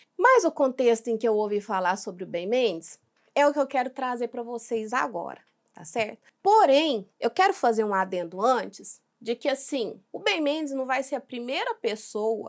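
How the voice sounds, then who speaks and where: A woman's fairly high voice at a moderate pace, with lively intonation and big swings in loudness. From Brazil, Minas Gerais. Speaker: react youtuber. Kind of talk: reaction video commentary. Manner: casual, conversational.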